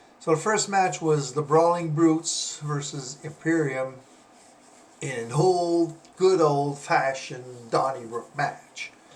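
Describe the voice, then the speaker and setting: A man with a Quebec accent talks very slowly in a fairly high voice. His pitch varies in an ordinary way, with noticeable background noise behind him. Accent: French Canadian accent in English. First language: French. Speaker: wrestling analyst, former pro wrestler. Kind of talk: casual commentary video. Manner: halting, many fillers.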